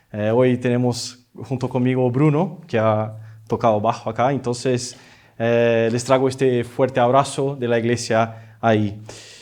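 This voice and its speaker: Speaking with a non-native accent, a man talks at a fairly slow pace in a monotone, flat delivery at medium pitch. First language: Portuguese (speaking Spanish). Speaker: visiting preacher. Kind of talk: sermon. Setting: church. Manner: halting, many fillers.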